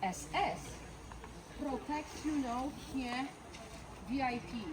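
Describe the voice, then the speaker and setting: Noticeable background noise surrounds a woman's voice. She has a high pitch and ordinary pitch variation. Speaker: tour guide. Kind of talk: guided tour. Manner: halting.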